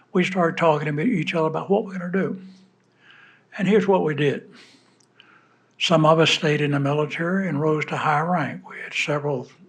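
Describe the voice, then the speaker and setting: With an American accent and a fairly high pitch with ordinary variation, a man talks at a fairly quick pace, pausing long and often, while audible room echo surrounds him. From US South, Georgia. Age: 80s+. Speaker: war veteran. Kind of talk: speech to an audience. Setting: stage with audience. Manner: halting.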